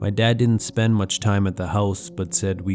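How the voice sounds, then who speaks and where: Music plays behind a man with a very deep, low pitch. His intonation stays fairly even. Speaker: horror story narrator and YouTuber. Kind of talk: horror story narration; calm storytelling with ASMR-style delivery.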